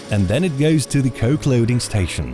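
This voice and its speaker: Music plays in the background as a man at medium pitch and moderate pace speaks with very wide pitch swings. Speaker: voice-over announcer. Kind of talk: corporate narration.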